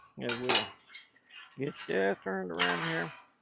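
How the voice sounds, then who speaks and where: Amid noticeable background noise, a man speaks at a fairly slow pace with very wide pitch swings. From US South, central Louisiana, rural. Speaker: cooking channel host. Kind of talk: cooking tutorial. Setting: outdoors. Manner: casual, folksy.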